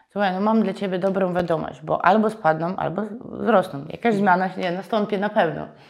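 Over noticeable background noise, a woman speaks at a medium pitch and a fairly quick pace, with fairly even intonation and hardly any pauses. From Ukraine, Donbas region. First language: Ukrainian or Russian (speaking Polish). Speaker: real estate agency owner. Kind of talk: interview.

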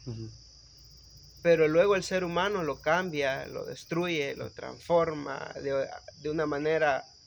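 A man's high-pitched voice at a fairly slow pace. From El Salvador, Guatemalan-Salvadoran family. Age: young. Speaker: electrical engineer and municipal councillor. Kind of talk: casual chat.

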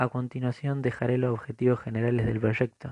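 A man's somewhat breathy voice of medium pitch, dark and mellow in tone, with monotone, flat intonation at a moderate pace, in a dry, close sound with no echo. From Argentina, Buenos Aires province. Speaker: social work student. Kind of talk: reading aloud a written assignment. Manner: formal.

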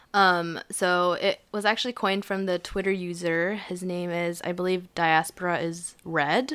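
An unremarkable speaking voice from a woman, fairly low in pitch, fairly slow with hardly any pauses and fairly even intonation, in a very clean recording with a silent background. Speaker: podcast co-host, university student. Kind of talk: casual chat.

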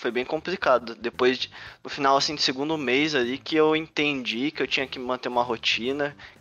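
Fairly quick, fairly even in intonation, a normal speaking voice from a man pitched at a medium level. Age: 20s. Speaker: game developer and startup cofounder. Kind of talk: talk to students. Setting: video call.

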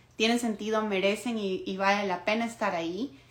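A woman's ordinary speaking voice, medium in pitch, with fairly even intonation. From Ecuador. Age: 20s. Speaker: podcast host. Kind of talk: solo monologue podcast.

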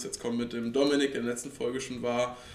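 A man talks very fast at medium pitch. His intonation is monotone and flat, with audible room echo. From Rhineland, Cologne-Aachen region, Germany. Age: 20s. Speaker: angler and fishing social media creator. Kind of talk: casual chat. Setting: club house, at a table with drinks.

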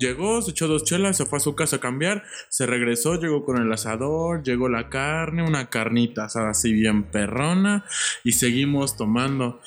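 A man with a plain, everyday voice and medium pitch talks at a moderate pace with lively intonation. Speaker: medical student. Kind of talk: casual chat.

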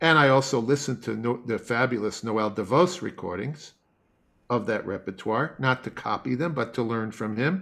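This man has an ordinary speaking voice, medium in pitch, with an American accent and lively intonation. He talks at a moderate pace over a quiet background. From US Northeast (Long Island, New York). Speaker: classical bassoonist and music professor. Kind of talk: interview.

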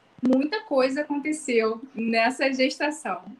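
Noticeable background noise sits behind a woman speaking at a high pitch with ordinary pitch variation. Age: 30s. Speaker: pregnant trainee. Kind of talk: casual chat.

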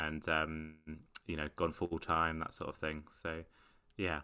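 In a British accent, a man speaks with a very deep, low pitch and a bright, sharp tone on a very clean recording with a silent background. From UK. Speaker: stand-up comedian. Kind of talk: casual interview chat. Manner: hesitant, many fillers.

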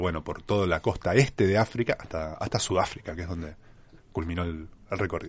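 Over a quiet background comes an unremarkable speaking voice. It moves at a fairly quick pace with ordinary pitch variation. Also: man. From Argentina, Mar del Plata. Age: 40s. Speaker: travel writer. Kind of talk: interview. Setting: radio studio.

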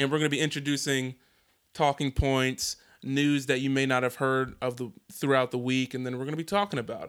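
A man with an unremarkable speaking voice talks fairly quickly in an American accent, at medium pitch with fairly even intonation. The recording is very clean, with a silent background. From Philadelphia / New Jersey, US. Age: 20s. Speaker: podcast host. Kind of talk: casual chat.

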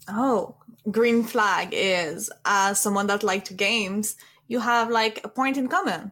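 In a French accent, a woman with a bright, sharp tone and fairly high pitch speaks at a very slow pace with ordinary pitch variation, on a very clean recording with a silent background. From France. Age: 20s. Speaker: streamer. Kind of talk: casual chat.

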